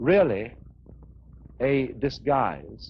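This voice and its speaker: His pitch leaps very widely as a man talks in a somewhat breathy voice. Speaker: philosopher. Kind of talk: philosophical lecture.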